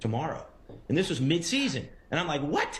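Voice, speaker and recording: A very fast pace amid noticeable background noise and audible room echo. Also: man. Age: 40s. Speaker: TV producer. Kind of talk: TV interview. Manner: halting.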